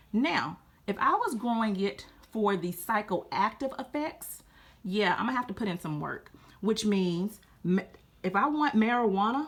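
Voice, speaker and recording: The speaker has a Louisiana accent and an animated tone. Intonation is lively, and the pace is moderate. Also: woman. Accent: Southern US (Louisiana). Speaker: gardening youtuber. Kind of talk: casual tutorial.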